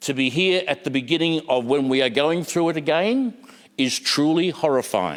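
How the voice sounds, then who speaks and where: With an Australian accent, a man speaks at a moderate pace in a fairly high pitch, his intonation lively. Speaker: politician. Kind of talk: parliamentary speech. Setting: parliament chamber. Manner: halting; impassioned.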